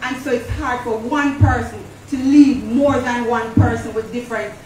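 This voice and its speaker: Intonation is fairly even and the pace moderate. There is audible room echo and light background noise. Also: woman. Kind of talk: church announcement. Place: church.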